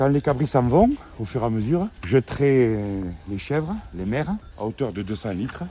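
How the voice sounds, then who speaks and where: A man's lively intonation at a fairly slow pace. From Tarn, southern France. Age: 50s. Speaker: shepherd and livestock farmer. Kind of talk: casual interview while herding.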